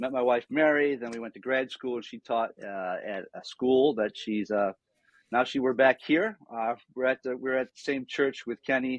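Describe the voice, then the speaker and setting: A man with an American accent and an unremarkable speaking voice, moderate pace, ordinary pitch variation and big swings in loudness. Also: medium pitch for a man. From western New York (Niagara Falls, near Buffalo). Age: 60s. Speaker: former pastor, nonprofit founder. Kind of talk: podcast interview.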